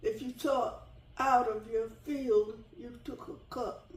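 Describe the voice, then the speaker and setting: Very slowly and at a high pitch, a woman speaks with an American accent, and audible room echo surrounds her voice. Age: 80s+. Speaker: retired teacher. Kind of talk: interview. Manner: halting.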